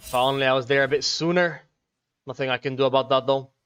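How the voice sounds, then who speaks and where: Music plays in the background while the speaker talks at a fairly quick pace. The intonation stays fairly even, and the sound is dry and close with no echo. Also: man. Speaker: gaming streamer. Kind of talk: live gameplay commentary with chat reading. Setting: live stream. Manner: casual, fast.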